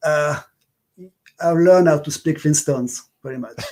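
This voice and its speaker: The man's tone is dark and mellow. His pitch sits fairly high, with ordinary variation. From France, Paris. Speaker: upright bass player. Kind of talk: interview. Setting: livestream.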